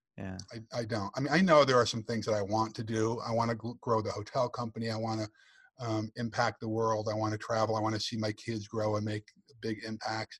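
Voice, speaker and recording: A man's somewhat breathy voice with an American accent and monotone, flat intonation. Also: medium pitch for a man, fairly quick pace, dry, close sound with no echo, very clean recording, silent background. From US Northeast (Western New York, rural). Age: 50s. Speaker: entrepreneur, speaker and author; military veteran. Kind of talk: interview, casual chat.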